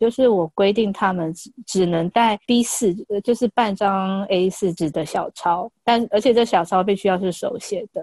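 The voice shows ordinary pitch variation in a dry, close sound with no echo. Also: woman. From Taiwan. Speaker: Chinese language teacher. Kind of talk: casual chat. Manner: halting.

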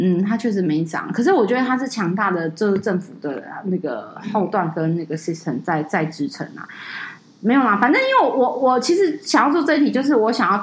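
Over noticeable background noise, a woman speaks at a medium pitch with very wide swings up and down. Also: moderate pace. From Taiwan, Taipei. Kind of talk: casual chat.

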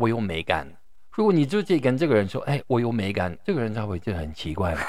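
The recording is very clean, and the background is silent. A man talks with vocal fry and very wide pitch swings. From France. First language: French (speaking Chinese). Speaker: professor and wine educator. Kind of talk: interview. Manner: halting, with frequent repetitions.

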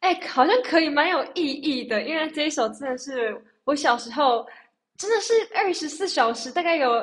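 With lively intonation, a woman talks at a moderate pace in a high pitch. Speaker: singer. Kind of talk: casual chat.

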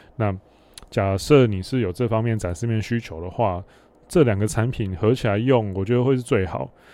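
A man's dark, mellow tone at a fairly low pitch, with ordinary pitch variation and a moderate pace. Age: 30s. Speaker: podcast host, dating coach. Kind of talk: solo Q&A monologue.

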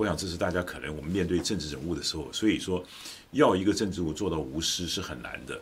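This man's voice sits at a very deep, low pitch with vocal fry and ordinary pitch variation. He talks at a very fast pace. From Taiwan (Taichung). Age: 60s. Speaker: political commentator. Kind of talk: casual chat.

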